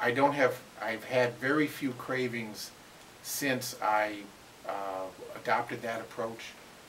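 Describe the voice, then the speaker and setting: Over noticeable background noise and audible room echo, a man of medium pitch talks very slowly with long, frequent pauses and fairly even intonation. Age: 60s. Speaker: interviewee sharing weight loss story. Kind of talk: interview. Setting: at a seminar. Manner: halting, many fillers.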